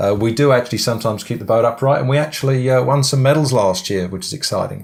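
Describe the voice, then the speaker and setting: Here a man talks at a very fast pace. He has an English accent. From England. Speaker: business coach. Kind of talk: webinar presentation. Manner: halting, many fillers.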